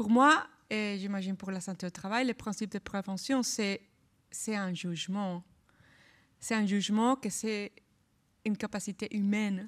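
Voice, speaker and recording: A woman at a medium pitch with fairly even intonation and a fairly slow pace, with long, frequent pauses, on a very clean recording with a silent background and a dry, close sound with no echo. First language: not French (speaking French). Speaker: labour law researcher, panelist. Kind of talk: panel discussion.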